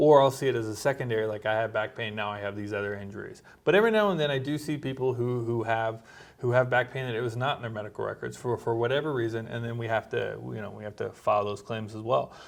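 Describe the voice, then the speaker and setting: On a very clean recording with a silent background, a man talks very fast at a medium pitch with fairly even intonation. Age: 40s. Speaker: doctor and military veteran. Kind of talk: casual chat.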